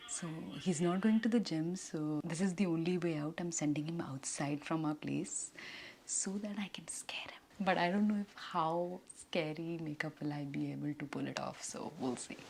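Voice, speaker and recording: A woman has a plain, everyday voice at a fairly low pitch. She talks at a moderate pace with ordinary pitch variation. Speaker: beauty vlogger. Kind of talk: makeup tutorial vlog. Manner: casual, chatty.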